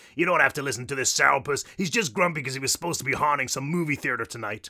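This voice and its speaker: A man puts on a character voice with a strong Brooklyn accent. His pitch is fairly high and his pace very fast. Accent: thick Brooklyn. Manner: sassy, teasing.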